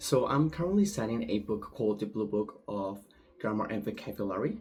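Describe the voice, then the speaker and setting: He has a fairly low pitch and a Spanish accent. This man's tone is dark and mellow, somewhat breathy, at a moderate pace. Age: 20s. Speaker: language student. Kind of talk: recorded class assignment monologue. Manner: hesitant, with filler words.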